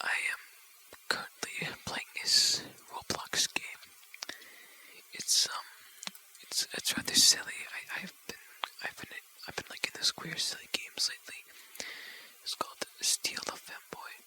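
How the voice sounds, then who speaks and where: Whispering comes at a fairly slow pace, broken by long, frequent pauses. Noticeable background noise is present. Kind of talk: ASMR, rambling casual talk. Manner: whispered.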